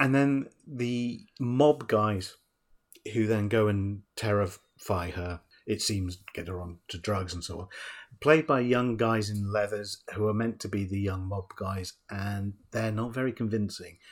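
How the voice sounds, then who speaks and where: At a fairly slow pace, a man talks in an unremarkable speaking voice, fairly low in pitch with ordinary pitch variation. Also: very clean recording, silent background. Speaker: film podcast host. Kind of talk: casual chat. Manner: conversational, bantering.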